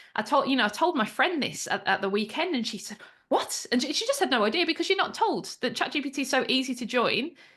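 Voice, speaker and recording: Very fast, high-pitched speech from a woman in a Birmingham accent, with very wide pitch swings. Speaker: AI trainer and business founder. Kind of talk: interview.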